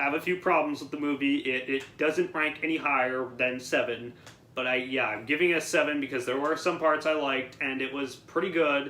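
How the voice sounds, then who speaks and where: A man talks at a fairly quick pace, his pitch fairly high. His intonation stays fairly even over noticeable background noise. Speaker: YouTube movie reviewer. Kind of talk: casual chat. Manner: halting, stuttering.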